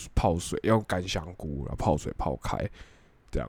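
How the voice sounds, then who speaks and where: A man's voice with vocal fry. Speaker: podcast co-host. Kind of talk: casual chat.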